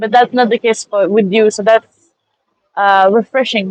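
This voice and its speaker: A woman's fairly high voice with a French accent, in a dry, close sound with no echo. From France. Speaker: master's student. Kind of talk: interview. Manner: halting.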